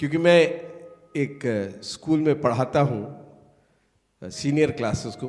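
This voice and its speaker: Over music in the background, the speaker uses ordinary pitch variation and leaves long, frequent pauses. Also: man, fairly high pitch for a man. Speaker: pastor and schoolteacher. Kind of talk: sermon.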